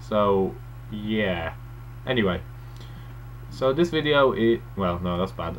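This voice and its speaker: Over audible room echo, a man with a fairly low pitch talks at a very slow pace with very wide pitch swings. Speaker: first-time video blogger. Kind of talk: casual vlog monologue. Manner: hesitant, many fillers.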